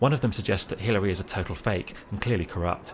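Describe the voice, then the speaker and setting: With a British accent, a man with a fairly low pitch and ordinary pitch variation talks very fast over noticeable background noise. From Britain. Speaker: writer reading his own travel pieces. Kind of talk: first-person narration read aloud.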